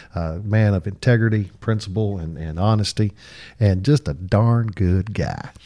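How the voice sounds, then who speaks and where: At a moderate pace, a man speaks in a fairly low, dark and mellow voice with ordinary pitch variation. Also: very clean recording, silent background. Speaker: attorney and podcast host. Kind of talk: casual interview.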